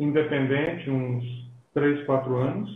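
A man with a fairly high pitch sounds somewhat breathy, and audible room echo surrounds his voice. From Brazil, Belo Horizonte. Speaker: pastor and missionary. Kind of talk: interview in a live stream.

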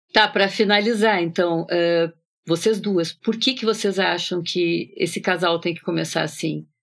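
A woman talks at a fairly slow pace with hardly any pauses. Her medium-pitched voice has vocal fry and fairly even intonation. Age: 60s. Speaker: psychoanalyst, podcast co-host. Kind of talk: casual literary discussion.

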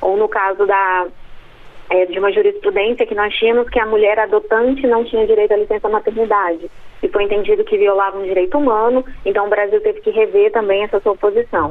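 A woman talks at a fairly quick pace with very even loudness. Noticeable background noise runs underneath. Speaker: law professor. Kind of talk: expert interview. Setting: phone call. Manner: hesitant, many fillers.

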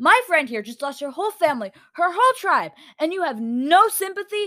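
A woman's put-on character voice with extremely high pitch, big pitch swings, a fairly bright tone and a fairly quick pace

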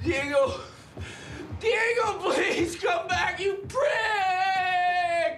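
In a put-on character voice, a man shouts in a raised voice at an extremely high pitch with a fairly bright tone, ordinary pitch variation and a very slow pace, with faint background noise.

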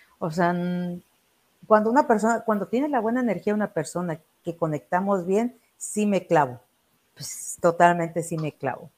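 A woman at medium pitch and moderate pace, with lively intonation and long, frequent pauses, in a very clean recording with a silent background. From Mexico, Acapulco, Guerrero. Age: 30s. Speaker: chef. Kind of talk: interview.

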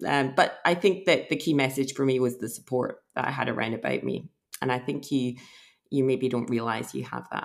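A woman with a Scottish accent, her pitch very deep and low, with ordinary pitch variation. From Scotland. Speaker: emergency physician. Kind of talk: interview.

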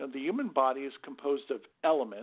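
A man's voice with very wide pitch swings. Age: 50s. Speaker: scalar energy researcher. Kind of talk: interview.

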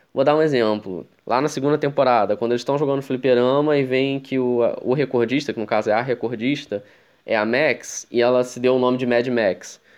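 A man with a plain, everyday voice, fairly quick in pace and fairly even in intonation. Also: medium pitch for a man. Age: 20s. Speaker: podcast host. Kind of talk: casual chat.

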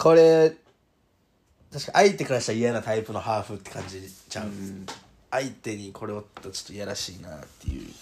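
A man with a Kansai accent, fairly low-pitched, fairly quick, with lively intonation, an animated tone and big swings in loudness. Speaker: podcast host, rugby player. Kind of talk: casual chat. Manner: animated, laughing often.

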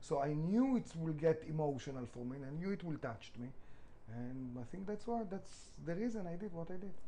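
With audible room echo around him, a man talks at a fairly quick pace in a fairly high pitch, his tone dark and mellow and his intonation lively. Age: 40s. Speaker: restaurant founder. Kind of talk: interview.

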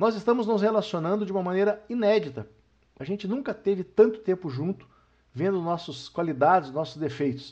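Lively, high-pitched male speech at a fairly quick pace against a quiet background. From interior of São Paulo state, then Paraná from adolescence. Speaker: retired banker and podcast host. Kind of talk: casual family podcast chat.

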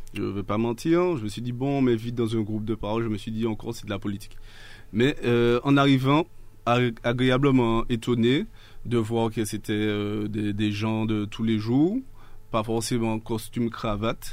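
Using a normal speaking voice of medium pitch, a man speaks at a moderate pace with fairly even intonation. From Martinique. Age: 30s. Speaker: local political activist. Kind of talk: radio interview.

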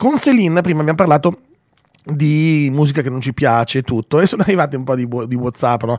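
This man has a normal speaking voice, fairly high in pitch, with lively intonation and a fairly quick pace. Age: 40s. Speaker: radio host. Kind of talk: morning radio show.

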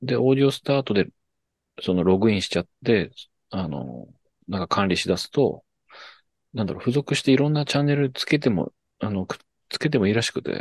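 A man with a medium pitch talks very fast, using lively intonation, vocal fry and long, frequent pauses. The sound is dry and close with no echo, against a quiet background. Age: 30s. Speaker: podcast host, musician. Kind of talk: casual chat. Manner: animated.

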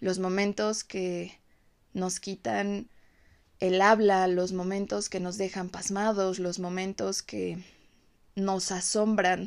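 In a very clean recording with a silent background, a woman speaks at a medium pitch. Her intonation is monotone and flat. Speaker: podcast host. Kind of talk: reflective monologue.

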